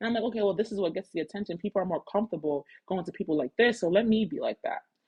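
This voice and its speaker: Speaking very fast, a woman uses a medium pitch with ordinary pitch variation. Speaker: podcast host. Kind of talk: solo podcast monologue. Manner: loud; casual, filler-heavy.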